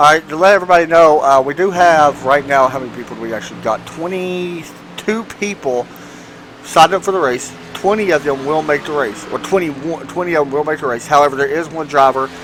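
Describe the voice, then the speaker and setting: Noticeable background noise sits behind a man with a fairly high pitch. He talks at a fairly quick pace with ordinary pitch variation. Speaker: sim racing commentator. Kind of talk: live commentary.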